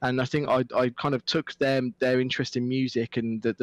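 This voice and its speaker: The sound is dry and close with no echo as a man of medium pitch speaks with a Midlands accent. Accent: Midlands accent, mild. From English Midlands, Stourport-on-Severn, Worcestershire. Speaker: esports presenter and commentator. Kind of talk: casual chat.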